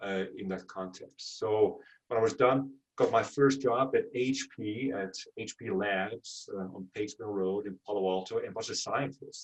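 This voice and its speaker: Speaking at a fairly slow pace in a Dutch accent, a man's loudness swings widely. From Netherlands. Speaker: venture capital investor. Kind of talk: interview.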